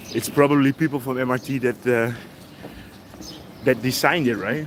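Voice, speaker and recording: A man at a medium pitch with a Dutch accent, fairly even intonation and a moderate pace, over noticeable background noise. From Netherlands. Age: 50s. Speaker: travel vlogger. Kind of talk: live stream walking vlog, casual chat. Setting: outdoors, city street walk.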